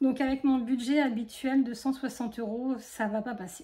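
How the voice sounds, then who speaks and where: A woman speaks in a high pitch at a fairly slow pace. Her tone is dark and mellow. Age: 40s. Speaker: budgeting youtuber. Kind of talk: casual tutorial. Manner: halting.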